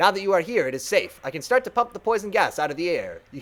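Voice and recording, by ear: The speaker is reading aloud in a natural voice. The delivery stays plain throughout.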